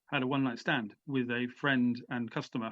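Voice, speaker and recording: With an English accent and a fairly quick pace, a man speaks at a medium pitch, the sound dry and close with no echo against a quiet background. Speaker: author and former prisoner. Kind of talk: interview. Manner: halting.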